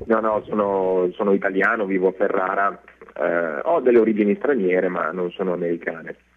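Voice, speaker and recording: Through noticeable background noise, a man speaks at a fairly quick pace. His fairly low voice has ordinary pitch variation. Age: 40s. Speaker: actor. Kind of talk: radio interview.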